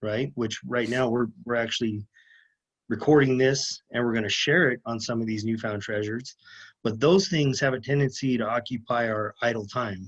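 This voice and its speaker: At a moderate pace and with ordinary pitch variation, a man speaks in an unremarkable speaking voice against a quiet background. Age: 30s. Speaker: lineman, former police officer. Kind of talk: podcast interview.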